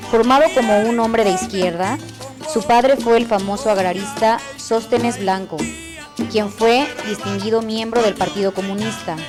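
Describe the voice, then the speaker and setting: A woman talks at a moderate pace with ordinary pitch variation while music plays behind her. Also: fairly high pitch for a woman. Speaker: TV announcer. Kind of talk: biographical narration read.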